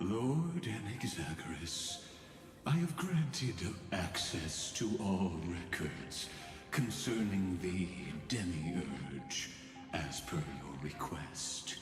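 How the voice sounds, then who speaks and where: A man's put-on character voice, very deep and low, at a very slow pace, with a clear echo and loud music in the background. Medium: game stream. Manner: cold, arrogant.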